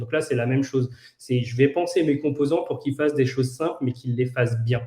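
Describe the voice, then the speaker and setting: A man's somewhat breathy, dark and mellow voice, fairly high in pitch, with fairly even intonation. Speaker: no-code trainer. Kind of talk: tutorial. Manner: halting, many fillers and repetitions.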